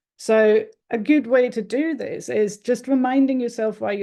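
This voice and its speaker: A woman talks at a moderate pace with a German accent. Her tone is dark and mellow. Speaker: marketing consultant. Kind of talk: talking-head explainer video.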